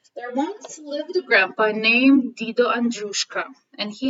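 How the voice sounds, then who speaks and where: At a moderate pace, a woman speaks in a high pitch with a Ukrainian accent. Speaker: elementary school teacher. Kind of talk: reading aloud. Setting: recorded video for school event.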